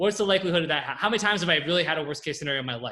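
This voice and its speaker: A bright, sharp tone with a West Coast US accent and ordinary pitch variation comes through on a very clean recording with a silent background. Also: man. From California. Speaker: copywriter and entrepreneur. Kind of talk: Q&A on a group call. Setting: group call. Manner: fast.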